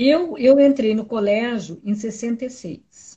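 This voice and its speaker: Lively intonation in a woman's somewhat breathy delivery. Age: 60s. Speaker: lawyer and political activist. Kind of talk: casual interview.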